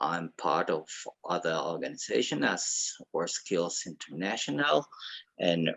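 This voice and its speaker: A man speaks with a Latin American accent. His pace is fairly slow. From Ecuador. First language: Spanish. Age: 50s. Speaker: mechanical engineer and association ambassador. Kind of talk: formal speech at online meeting.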